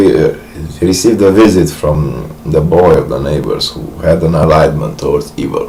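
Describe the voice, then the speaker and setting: Noticeable background noise and audible room echo surround a man's voice. He speaks at a very deep, low pitch and a fairly slow pace. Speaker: vlogger. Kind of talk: monologue. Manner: halting.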